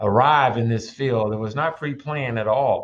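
Against a quiet background, a man with a Memphis accent talks fairly quickly at medium pitch with ordinary pitch variation. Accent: Southern US (Memphis). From Memphis, Tennessee (south Memphis). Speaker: judge. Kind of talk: radio interview.

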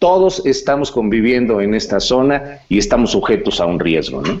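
With a Mexican accent, a man talks in very wide pitch swings. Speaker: insurance agent. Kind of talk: casual chat.

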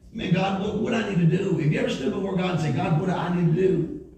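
Noticeable background noise sits behind this man's voice. He speaks at a high pitch and a very fast pace. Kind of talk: sermon. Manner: animated, call-and-response, rallying the congregation; loud, forceful, punchy, sometimes laughing and sarcastic.

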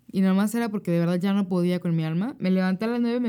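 A woman's medium-pitched voice with a dark, mellow tone and ordinary pitch variation. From Monterrey, northern Mexico. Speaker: podcast co-host. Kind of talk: casual chat.

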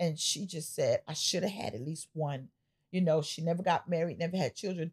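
A woman speaks at a moderate pace in a fairly low, somewhat breathy voice with an animated tone and ordinary pitch variation. The sound is dry and close, with no echo. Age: 50s. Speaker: pastor and podcast host. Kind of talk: casual chat.

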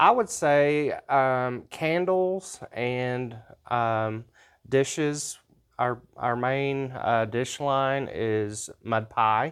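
With an American accent and a medium pitch, a man speaks at a very slow pace in a very clean recording with a silent background. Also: ordinary pitch variation. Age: 40s. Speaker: shop owner. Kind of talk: business interview. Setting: in his store. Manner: hesitant, many fillers.

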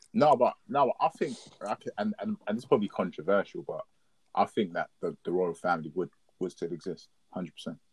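A man with a London accent at a fairly quick pace, with long, frequent pauses and a dry, close sound with no echo. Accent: London Multicultural English. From South London. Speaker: podcast guest. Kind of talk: casual chat.

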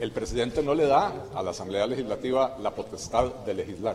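Lively intonation marks this man's medium-pitched voice. He talks at a fairly quick pace. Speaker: legislator. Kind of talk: press statement. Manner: formal.

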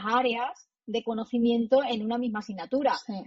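Here is a woman with a plain, everyday voice. She speaks fairly slowly at a fairly high pitch, with fairly even intonation. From Spain, Extremadura. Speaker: law professor. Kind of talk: interview.

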